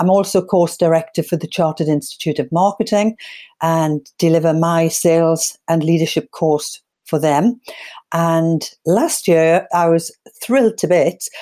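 At a moderate pace, a woman with a fairly low pitch and a dark, mellow tone speaks with very even loudness and ordinary pitch variation. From northeast England. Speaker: sales trainer. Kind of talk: interview.

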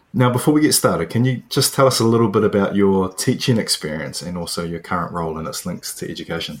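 With a New Zealand accent, a man speaks very fast at a fairly low pitch with hardly any pauses, very wide pitch swings and big swings in loudness. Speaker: podcast host, PE teacher. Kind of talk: interview.

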